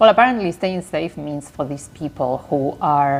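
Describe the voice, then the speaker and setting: At a fairly slow pace, a woman speaks with a non-native accent. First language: not English. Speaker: lifestyle vlogger. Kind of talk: casual vlog monologue.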